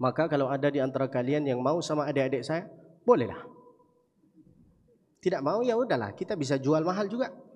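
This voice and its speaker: An animated tone at a fairly quick pace, with very wide pitch swings. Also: man. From Saudi Arabia, Mecca. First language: Arabic (speaking Indonesian). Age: 20s. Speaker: preacher. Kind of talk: sermon.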